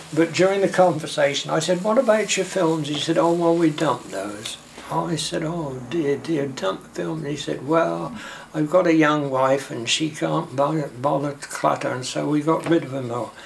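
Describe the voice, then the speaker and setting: Over noticeable background noise, a man with fairly high pitch and ordinary pitch variation talks at a moderate pace. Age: 80s+. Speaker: amateur filmmaker and film collector. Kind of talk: interview. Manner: halting.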